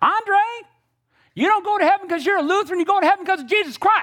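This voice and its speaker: This female-sounding voice is a put-on character voice, extremely high in pitch. It races along at a very fast pace. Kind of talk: gentle.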